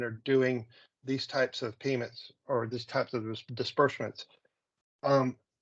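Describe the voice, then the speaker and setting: With an unremarkable speaking voice, a man talks at a fairly high pitch and moderate pace against a quiet background. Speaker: software consultant; presenter. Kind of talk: software demo presentation. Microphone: video call.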